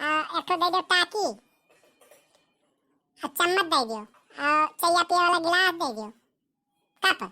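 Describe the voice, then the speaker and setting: A put-on character voice moves at a moderate pace. Long pauses come often. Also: woman, extremely high pitch for a woman. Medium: comedy sketch. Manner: bossy, insistent.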